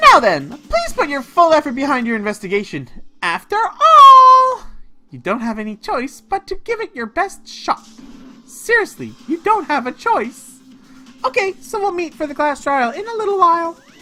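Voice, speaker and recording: A high, put-on character voice swings very widely in pitch. The pace is moderate. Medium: game stream. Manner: mocking, playful, cruel.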